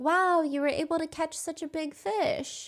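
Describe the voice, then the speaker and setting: Soft-spoken, squeaky put-on character voice from a woman, extremely high-pitched, at a moderate pace. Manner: encouraging.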